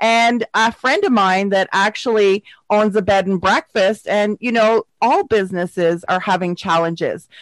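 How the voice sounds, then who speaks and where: Here a woman has a plain, everyday voice at medium pitch with ordinary pitch variation. She keeps a moderate pace, hardly any pauses and very even loudness. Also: dry, close sound with no echo. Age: 50s. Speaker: podcast host and motivational speaker. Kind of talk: casual chat.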